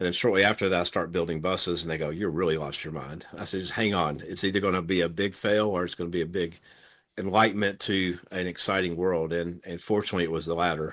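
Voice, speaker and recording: With a Tennessee accent, a man talks at a very fast pace in a very deep, low pitch. His intonation is fairly even, and the background is quiet. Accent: US Southern (Tennessee). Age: 60s. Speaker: thoracic surgeon. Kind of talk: interview conversation. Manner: passionate.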